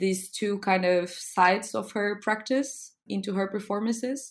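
With a Portuguese accent, a woman speaks at a very slow pace. Her pitch varies in an ordinary way. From Lisbon, Portugal. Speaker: arts foundation founder. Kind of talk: casual interview.

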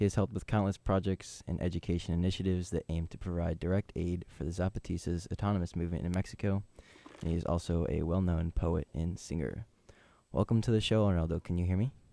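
A man's very deep, low voice with a dark, mellow tone, very fast pace and fairly even intonation, on a very clean recording with a silent background. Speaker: college radio co-host. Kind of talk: interview. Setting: studio.

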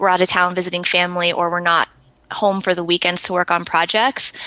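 A woman speaks in a normal speaking voice with an American accent. Her pitch is medium and her intonation fairly even. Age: 30s. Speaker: pet portrait artist and blogger. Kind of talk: casual interview chat.

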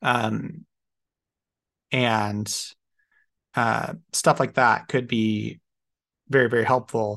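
With vocal fry and long, frequent pauses, a man speaks at a very slow pace with ordinary pitch variation. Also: medium pitch for a man. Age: 30s. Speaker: podcast co-host, parent. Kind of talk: casual chat.

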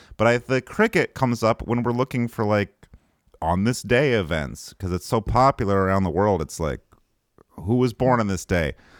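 On a very clean recording with a silent background, a man with a Northern Michigan accent speaks at a moderate pace, his fairly low voice full of lively intonation, dry and close with no echo. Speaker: podcast host. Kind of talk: casual comedic chat.

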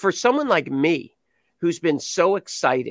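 A man's plain, everyday voice with lively intonation at a moderate pace, in a very clean recording with a silent background and a dry, close sound with no echo. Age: 60s. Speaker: golf commentator. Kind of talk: casual chat.

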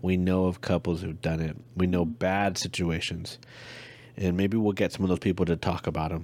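With an American accent, a man speaks fairly quickly in a very deep, low pitch and fairly even intonation. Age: 30s. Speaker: podcast co-host, military husband. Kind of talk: casual chat.

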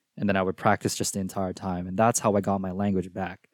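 In a very clean recording with a silent background, a man talks at a very fast pace. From Philippines and Singapore. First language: Filipino. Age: 20s. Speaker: college student. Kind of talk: casual chat. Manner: hesitant, filler-heavy.

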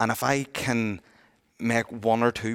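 A man speaks in a Northern Irish accent with a fairly low pitch. The sound is dry and close with no echo, a very clean recording against a silent background. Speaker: retail industry representative. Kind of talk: casual discussion.

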